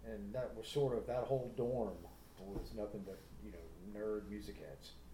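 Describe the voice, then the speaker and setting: Speaking at a moderate pace with an American accent, a man is heard with audible room echo. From US South, Atlanta, Georgia. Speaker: musician. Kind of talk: casual chat.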